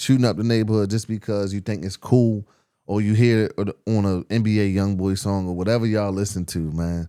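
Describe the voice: In a very clean recording with a silent background, a man speaks at a moderate pace with fairly even intonation, a fairly low pitch and a clear, smooth, dark and mellow tone.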